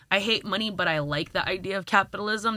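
Over a very clean recording with a silent background, a woman with a New York accent talks at a very fast pace in a bright, sharp tone. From Brooklyn, New York (Flatbush). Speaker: music artist and content creator. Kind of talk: casual chat.

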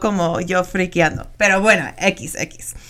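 The voice belongs to a woman. It has a bright, sharp tone. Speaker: radio host. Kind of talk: interview. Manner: halting.

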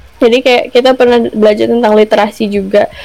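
Amid noticeable background noise, a woman speaks very fast at a fairly high pitch with fairly even intonation. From Indonesia and US (childhood largely in US). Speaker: university alumna, former dancer. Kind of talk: casual chat.

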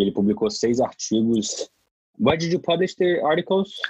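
A man with a Brazilian accent talks at a fairly quick pace with lively intonation. The sound is dry and close, with no echo. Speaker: podcast host. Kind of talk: live interpreting.

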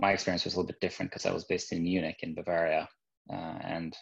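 Over a quiet background, a man with a Norwegian accent speaks at a very fast pace. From Norway. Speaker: business manager. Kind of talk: interview. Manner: halting, many fillers and repeats.

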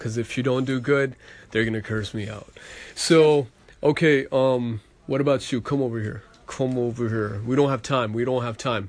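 A man talks in an unremarkable speaking voice at a medium pitch, with a moderate pace and fairly even intonation. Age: 30s. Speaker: podcast host. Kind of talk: casual chat. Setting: at a family party.

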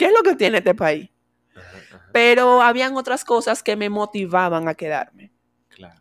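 On a very clean recording with a silent background, a woman speaks at a moderate pace with a fairly high pitch, very wide pitch swings and big swings in loudness. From Venezuela. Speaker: immigrant entrepreneur. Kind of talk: casual chat. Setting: studio.

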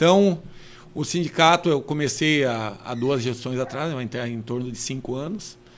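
Here a man talks with a medium pitch and ordinary pitch variation. He takes a fairly slow pace. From southern Brazil (Rio Grande do Sul, Carazinho). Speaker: rural union president and farmer. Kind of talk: casual interview chat. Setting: studio, live-streamed podcast. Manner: halting, with many restarts.

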